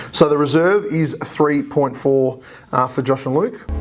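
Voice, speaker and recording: Against noticeable background noise, a man speaks at a moderate pace in a fairly high pitch. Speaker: auctioneer. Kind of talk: casual talk to camera.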